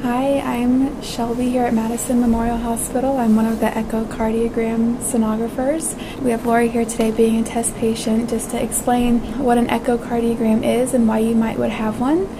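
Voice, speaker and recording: A woman's flat, monotone delivery with hardly any pauses, over noticeable background noise. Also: moderate pace. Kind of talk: explanatory talk to camera. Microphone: lapel.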